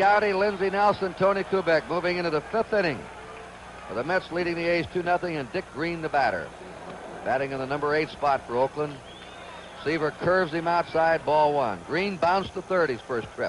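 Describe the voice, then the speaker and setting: A high-pitched male voice at a moderate pace, with noticeable background noise. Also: ordinary pitch variation. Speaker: baseball play-by-play announcer. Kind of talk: 1970s network radio/TV baseball play-by-play broadcast.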